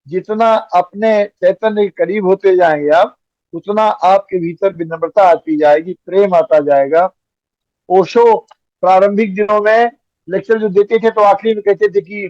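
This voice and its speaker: Here a man speaks at a high pitch with ordinary pitch variation. The sound is dry and close, with no echo. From Uttar Pradesh, India. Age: 80s+. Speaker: spiritual teacher and author. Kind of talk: interview answer.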